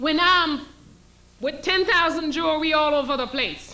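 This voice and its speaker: Raised and projected, a woman's high-pitched voice moves at a fairly slow pace amid noticeable background noise and audible room echo. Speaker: historian and lecturer. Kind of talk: lecture.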